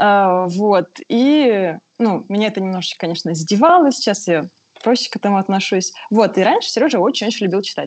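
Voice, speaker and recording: An ordinary speaking voice, this woman talks at a fairly quick pace with a medium pitch. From southern Russia, Pyatigorsk. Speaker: caller, mother. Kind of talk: call-in question.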